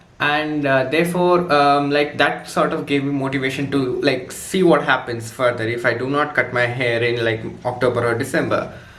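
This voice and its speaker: A man with an Indian accent talks at a moderate pace and a fairly high pitch, with hardly any pauses. Noticeable background noise and audible room echo are present. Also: fairly even intonation. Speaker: student vlogger. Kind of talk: casual vlog story time. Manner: halting, many fillers.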